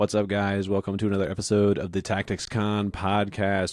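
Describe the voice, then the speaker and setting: A man with a Southern US accent and a fairly low pitch, on a very clean recording with a silent background. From North Louisiana, US South. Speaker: podcast host. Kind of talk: casual interview chat. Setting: podcast recording.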